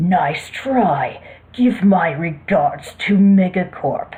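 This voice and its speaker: Using a put-on character voice, a woman growls at a very slow pace, with medium pitch and lively intonation. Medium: read story. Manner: curt, cool, secretive.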